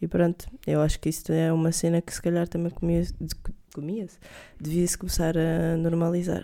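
With a dark, mellow tone and fairly low pitch, a woman speaks at a moderate pace in a monotone, flat intonation. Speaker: podcast co-host. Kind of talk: casual chat.

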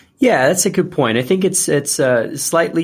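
A man with a Portuguese accent and ordinary pitch variation on a very clean recording with a silent background. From Brazil. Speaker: investment analyst. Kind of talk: interview. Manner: halting, many fillers and repetitions.

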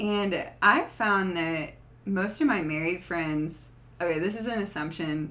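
Speaking at a fairly slow pace, a woman with a Southern US accent has a fairly low pitch, a bright, sharp tone and ordinary pitch variation. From US South. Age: 20s. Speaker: podcast guest. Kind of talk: casual chat.

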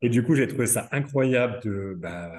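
The voice has a dark, mellow tone and ordinary pitch variation, moving at a fairly slow pace over a quiet background. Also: man. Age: 30s. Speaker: home care nurse. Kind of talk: interview. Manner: halting.

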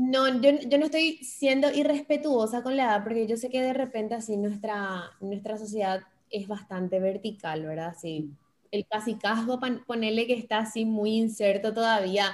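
A woman's fairly high voice, an unremarkable speaking voice, with lively intonation at a fairly slow pace. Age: 20s. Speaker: radio and TV presenter, influencer. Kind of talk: interview conversation.

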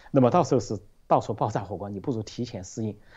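Speaking at a very fast pace, a man has a somewhat breathy voice. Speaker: political commentator. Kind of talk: panel discussion. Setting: video call. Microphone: remote Skype line.

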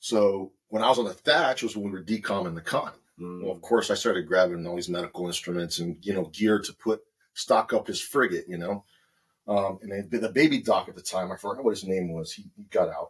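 A man with an American accent and an ordinary speaking voice, fairly low in pitch with ordinary pitch variation, at a fairly quick pace. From California, San Jose. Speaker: navy sailor. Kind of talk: casual chat.

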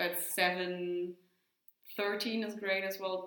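In a German accent, a woman speaks very slowly at a medium pitch, her intonation monotone and flat, with audible room echo around her. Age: young. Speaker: winemaker. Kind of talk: casual interview. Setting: winery tasting room.

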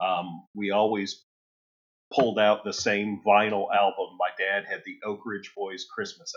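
The speaker is a man with a Midwestern US accent. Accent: US Midwest. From Ohio, Toledo area. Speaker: guitar effects pedal builder. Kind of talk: casual interview.

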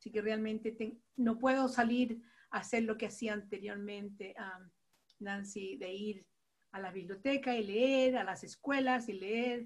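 Somewhat breathy, a woman with a fairly high pitch talks at a fairly slow pace. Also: fairly even intonation. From Latin America. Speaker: teacher and children's book author, participant. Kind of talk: workshop participation. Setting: video call.

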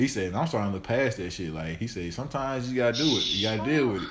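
Somewhat breathy and very fast, a man talks at a medium pitch with lively intonation amid audible room echo. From Arkansas, Forrest City. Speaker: podcast host. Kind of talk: casual chat.

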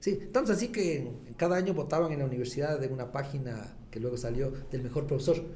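A man speaks at a very fast pace with lively intonation and a dark, mellow tone. His voice is somewhat breathy, and there is audible room echo. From Ecuador, Latacunga. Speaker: gynecologist and clinic owner. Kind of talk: podcast interview.

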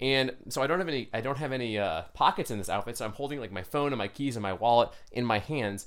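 A man at a very fast pace with hardly any pauses, medium pitch and ordinary pitch variation. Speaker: podcast guest, fitness enthusiast. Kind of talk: casual chat.

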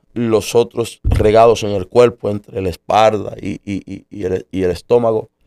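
The pace is very slow. The sound is dry and close, with no echo. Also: man. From Puerto Rico. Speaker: pastor. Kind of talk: testimony.

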